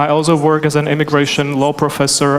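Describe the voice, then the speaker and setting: A fairly high-pitched man at a fairly quick pace, over noticeable background noise. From Czechoslovakia. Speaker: immigration attorney, panel moderator. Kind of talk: panel discussion.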